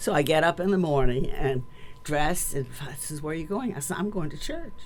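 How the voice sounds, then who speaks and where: Amid noticeable background noise, a woman at a very deep, low pitch talks at a moderate pace with ordinary pitch variation and big swings in loudness. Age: 90s. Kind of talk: interview answer, personal testimony.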